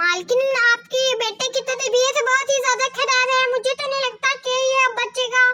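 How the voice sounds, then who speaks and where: A woman puts on a cartoonish character voice at an extremely high pitch. She keeps a moderate pace with hardly any pauses. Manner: deferential.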